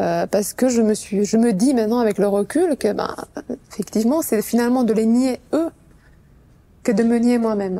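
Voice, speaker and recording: A woman with a Romanian accent speaks at a moderate pace and a fairly high pitch, in a dark, mellow tone with ordinary pitch variation. Her loudness stays very even, broken by long, frequent pauses. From Romania, Bucharest. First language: Romanian (speaking French). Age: 40s. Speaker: sales executive. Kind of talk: interview testimony. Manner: hesitant, many fillers.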